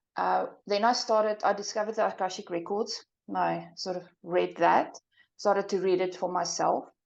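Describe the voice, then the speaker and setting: Against a quiet background, a woman with a South African accent speaks in a flat monotone with vocal fry. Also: medium pitch for a woman, moderate pace. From South Africa, small town in the interior. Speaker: psychic and soul path coach. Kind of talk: interview.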